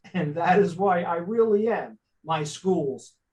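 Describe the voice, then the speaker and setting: Pitched high, a man speaks with an American accent. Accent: thick Italian-New York City. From New York City, Staten Island. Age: 60s. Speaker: spiritual life coach. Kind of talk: interview.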